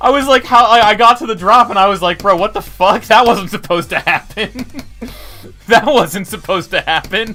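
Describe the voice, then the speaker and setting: A man's raised, projected voice with an animated tone, high pitch, ordinary pitch variation and a fairly quick pace, over music in the background. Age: 20s. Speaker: gaming streamer. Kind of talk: live stream commentary. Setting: live stream.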